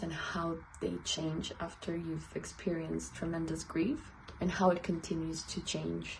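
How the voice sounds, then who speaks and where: Against noticeable background noise, a speaker with a non-native accent talks at a fairly slow pace. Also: woman. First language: not English. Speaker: artist. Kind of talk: casual talk to camera, personal video essay. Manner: hesitant, conversational.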